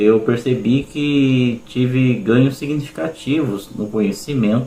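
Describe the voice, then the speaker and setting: Medium in pitch with ordinary variation, the man speaks in an unremarkable speaking voice. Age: 40s. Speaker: schoolteacher, student testimonial. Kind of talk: testimony.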